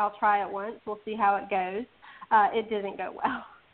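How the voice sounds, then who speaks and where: Her voice is an ordinary speaking voice, fairly high for a woman, delivered at a moderate pace. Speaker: audiobook reviewer and promoter. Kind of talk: casual interview chat. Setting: remote call, radio show.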